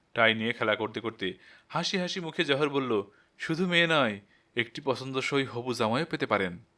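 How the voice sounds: The intonation moves in a lively way. It is a natural voice reading a text.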